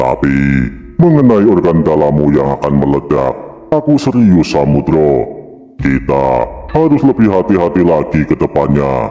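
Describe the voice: At a moderate pace, a man puts on a character voice.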